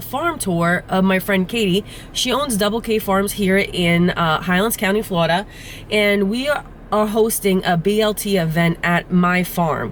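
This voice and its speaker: The speaker has an American accent and a moderate pace. Pitch varies in an ordinary way amid noticeable background noise. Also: woman. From New Jersey. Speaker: farmer and farm vlogger. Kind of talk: casual vlog narration.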